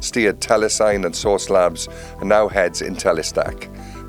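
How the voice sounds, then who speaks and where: Music playing behind a man speaking at a moderate speed. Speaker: podcast host. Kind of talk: podcast intro narration.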